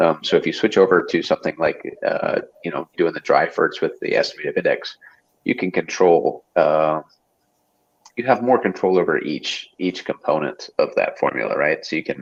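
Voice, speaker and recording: With an American accent, the speaker goes at a moderate pace in a dry, close sound with no echo. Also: man. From United States. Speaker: aquarium hobby livestream host. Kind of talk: casual livestream chat. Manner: frequent fillers and hesitations.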